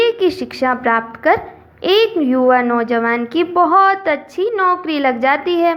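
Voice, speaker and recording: A woman speaks at an extremely high pitch, with very wide pitch swings. Noticeable background noise is present. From Rajasthan, India. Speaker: storyteller. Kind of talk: moral story narration.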